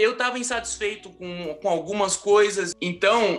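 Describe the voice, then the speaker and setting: A raised, projected voice speaks at a moderate pace with lively intonation. Music plays in the background. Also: man. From Rio de Janeiro, Brazil. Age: 30s. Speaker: architect and construction project manager. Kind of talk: interview answer.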